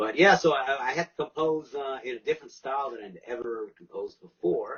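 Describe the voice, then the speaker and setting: Talking at a fairly quick pace, a man with a fairly high pitch shows ordinary pitch variation and big swings in loudness. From Moncton, New Brunswick, Acadian Canada. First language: French. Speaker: musician. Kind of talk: casual chat.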